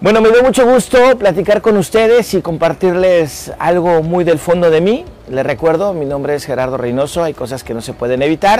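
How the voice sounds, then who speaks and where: A man's high-pitched voice with very wide pitch swings, moderate pace and hardly any pauses, over noticeable background noise. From Mexico City. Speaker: radio news presenter. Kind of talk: personal profile interview.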